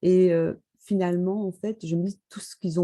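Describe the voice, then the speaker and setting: The woman's voice is fairly low, dark and mellow, and she speaks at a fairly slow pace. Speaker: author and former chemical engineer. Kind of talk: interview. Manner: hesitant, many fillers.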